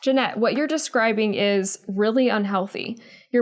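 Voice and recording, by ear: The voice sounds natural as it reads out loud. Its pitch moves in a typical way.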